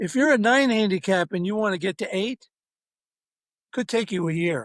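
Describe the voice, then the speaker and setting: In a dry, close sound with no echo, a man speaks at a moderate pace in a high pitch with ordinary pitch variation. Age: 70s. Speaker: author and golf parent. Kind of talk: casual interview.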